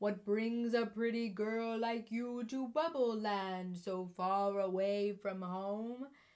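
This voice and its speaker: In a put-on character voice that sounds female and fairly high, the speaker goes very slowly with hardly any pauses. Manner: friendly, inquiring.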